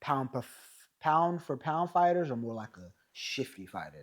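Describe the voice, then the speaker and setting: Over a very clean recording with a silent background, a man with an American accent talks at a moderate pace in a plain, everyday voice with ordinary pitch variation. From California. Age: 30s. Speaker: podcast host. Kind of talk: casual interview chat. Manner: casual, relaxed.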